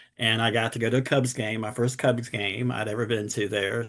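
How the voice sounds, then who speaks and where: Against a quiet background, a man with a Southern US accent talks at a moderate pace and medium pitch with fairly even intonation. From US South, Durham, North Carolina. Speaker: cancer survivor and advocate. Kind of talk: talk on a video call.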